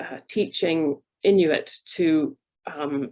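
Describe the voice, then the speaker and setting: Very slow and with fairly even intonation, a woman speaks. Her pitch is very deep and low. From Canada. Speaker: university research fellow. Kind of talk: panel presentation. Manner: hesitant, many fillers.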